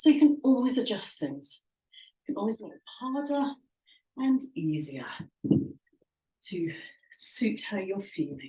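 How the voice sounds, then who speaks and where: Somewhat breathy, the voice moves through very wide pitch swings. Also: woman. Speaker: fitness instructor. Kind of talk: workout instruction. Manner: instructive, encouraging.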